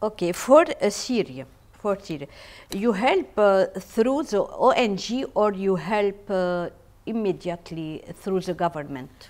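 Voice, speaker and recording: In an Arabic accent, a woman speaks at medium pitch and a very slow pace. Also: lively intonation. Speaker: TV interviewer. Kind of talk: interview. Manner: halting.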